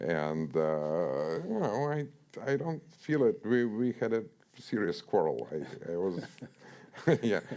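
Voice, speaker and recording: With a Russian accent and a dark, mellow tone, a man speaks very slowly at a medium pitch, leaving long, frequent pauses as his pitch swings very widely. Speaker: author. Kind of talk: author talk interview. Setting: stage with audience. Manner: halting, many fillers and repetitions.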